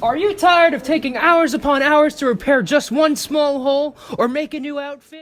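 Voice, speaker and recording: High-pitched female speech, moderately paced and with ordinary pitch variation. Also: hardly any pauses. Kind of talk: infomercial pitch. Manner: salesy, upbeat.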